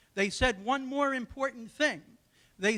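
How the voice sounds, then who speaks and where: The voice is raised and projected, with a bright, sharp tone. Its pitch varies in an ordinary way. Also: man. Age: 60s. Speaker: audience member. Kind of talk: audience question.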